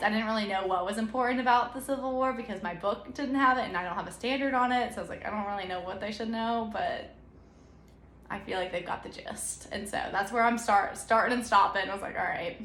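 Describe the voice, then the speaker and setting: In an American accent, a woman talks fairly quickly at a fairly high pitch with ordinary pitch variation, and the room echo is audible. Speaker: new elementary school teacher. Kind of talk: casual vlog talk. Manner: fast.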